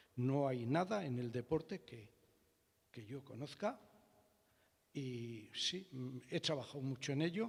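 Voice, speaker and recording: The voice is somewhat breathy, with ordinary pitch variation. It moves at a very slow pace. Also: man. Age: 70s. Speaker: audience member, engineer. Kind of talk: public Q&A.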